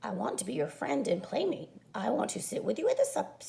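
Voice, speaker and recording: Putting on a raspy character voice, a woman talks at a fairly quick pace and fairly high pitch. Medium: read story.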